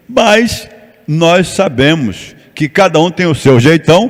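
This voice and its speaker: This man has a high-pitched voice with ordinary pitch variation. Noticeable background noise runs underneath. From Rio de Janeiro, Brazil. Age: 70s. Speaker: pastor and missionary. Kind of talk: sermon.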